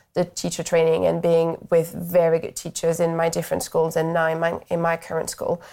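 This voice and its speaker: In a French accent, a woman with a fairly low pitch and a dark, mellow tone talks at a fairly quick pace over a silent background in a very clean recording. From France. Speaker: primary school teacher. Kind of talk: interview.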